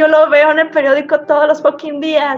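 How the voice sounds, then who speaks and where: A woman keeps a moderate pace as noticeable background noise continues. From Mexico, Sinaloa. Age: 30s. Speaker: literature educator. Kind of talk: casual interview. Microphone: lagging connection.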